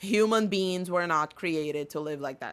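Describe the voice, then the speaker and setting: A woman with a Portuguese accent speaks at a fairly low pitch on a very clean recording with a silent background. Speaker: podcast host and English teacher. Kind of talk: casual podcast monologue.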